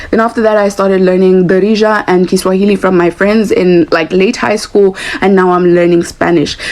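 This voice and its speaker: In a Lesotho accent, a woman talks fairly quickly at a medium pitch with hardly any pauses. Her intonation is fairly even, her loudness very even, and there is noticeable background noise. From South Africa, Soweto. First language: Sesotho. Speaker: podcast panelist. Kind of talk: podcast discussion.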